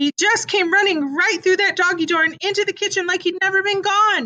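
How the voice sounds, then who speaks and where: A woman puts on a squeaky character voice at an extremely high pitch, talking at a fairly quick pace. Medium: read story. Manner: warm, motherly.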